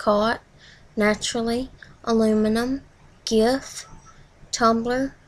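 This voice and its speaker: Monotone, flat intonation in a Tennessee accent. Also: woman. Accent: Southern US, Tennessee. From Southern US. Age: 20s. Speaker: vlogger. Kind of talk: accent tag word list and casual answers to camera. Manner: nervous, shy. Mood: nervous, shy. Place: home room. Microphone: webcam.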